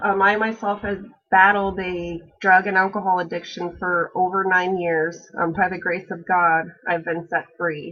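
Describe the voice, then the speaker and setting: A woman with an American accent speaks at a medium pitch. Her pace is fairly slow. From Alaska, Kenai Peninsula. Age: 30s. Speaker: college student. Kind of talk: class introduction video. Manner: hesitant, frequent fillers.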